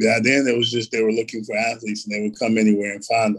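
The speaker uses monotone, flat intonation with an American accent. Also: man. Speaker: former NFL player. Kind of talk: casual interview.

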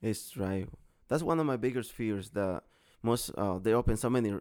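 A man with a Mexican accent, his voice fairly low with ordinary pitch variation, on a very clean recording against a silent background. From Mexico, Guerrero. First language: Spanish. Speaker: hibachi chef and catering business owner. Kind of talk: casual interview.

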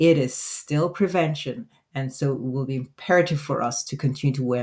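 Her pitch varies in an ordinary way. This woman's voice sits very deep and low. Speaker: physician and podcast host. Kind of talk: solo podcast monologue. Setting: recording studio. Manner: casual, unscripted.

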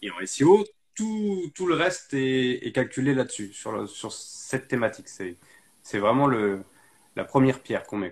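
A man's voice at a fairly slow pace, with very wide pitch swings and big swings in loudness. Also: medium pitch for a man. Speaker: live stream host. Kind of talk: casual chat. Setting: video call.

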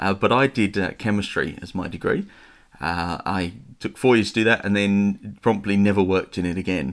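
The speaker talks in a slight Estuary accent. It is a very clean recording with a silent background. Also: man, fairly low pitch for a man, ordinary pitch variation, moderate pace. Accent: London English, slight Estuary. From east London, England. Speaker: church pastor. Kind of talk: casual interview chat.

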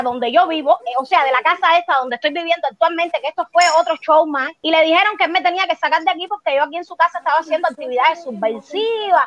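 In a dry, close recording with no echo, a woman speaks at a very fast pace with an extremely high pitch. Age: 30s. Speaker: homeowner making a complaint. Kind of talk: testimony.

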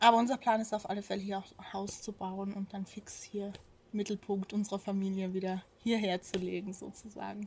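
A woman's somewhat breathy voice with monotone, flat intonation. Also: medium pitch for a woman, moderate pace. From South Tyrol, Italy (Pfitsch valley). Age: 30s. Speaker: farmer. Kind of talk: interview. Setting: on a farm.

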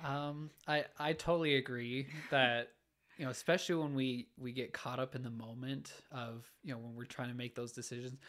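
At a moderate pace and medium pitch, a man with a Utah accent keeps fairly even intonation while his loudness swings widely. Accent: Utah American English. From Utah, Orem. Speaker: engineering student. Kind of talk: casual chat. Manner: halting.

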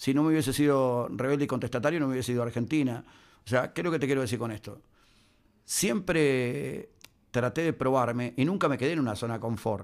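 A man speaks at a very fast pace with a Uruguayan accent, his pitch medium with ordinary variation. The recording is very clean, with a silent background. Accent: Uruguayan Spanish (rioplatense). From Uruguay, Minas (Lavalleja). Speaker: sports commentator and journalist. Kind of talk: interview conversation.

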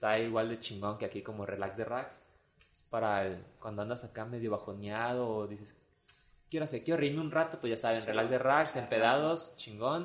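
A man's medium-pitched, ordinary speaking voice, paced moderately and with ordinary pitch variation. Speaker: podcast host. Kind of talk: casual chat.

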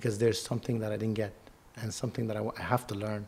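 The speaker has a Lebanese accent. The intonation stays monotone and flat. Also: man. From Lebanon. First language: Arabic. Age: 30s. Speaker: model and actor. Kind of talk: casual interview.

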